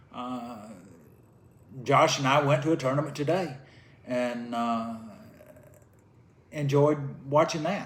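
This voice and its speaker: Through noticeable background noise, a man with a Southern US accent speaks at a fairly high pitch with ordinary pitch variation. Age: 60s. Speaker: retired karate fighter. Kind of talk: casual chat. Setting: at home, drinking beer.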